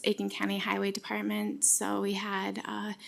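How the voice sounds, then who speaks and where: A woman with an American accent at a moderate pace. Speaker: public health specialist. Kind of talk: presentation at county board meeting.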